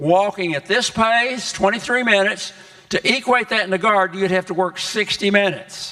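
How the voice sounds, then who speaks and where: A man with a high pitch uses a raised, projected voice at a moderate pace. His intonation is fairly even, and background noise is noticeable. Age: 80s+. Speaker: health educator. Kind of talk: health talk to congregation. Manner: halting.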